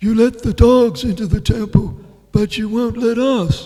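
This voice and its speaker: Using a put-on character voice, a man speaks at an extremely high pitch and a moderate pace. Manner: clever, witty.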